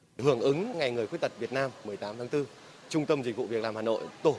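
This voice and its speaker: A man talking at a very fast pace with lively intonation over noticeable background noise. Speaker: city government official. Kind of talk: interview soundbite.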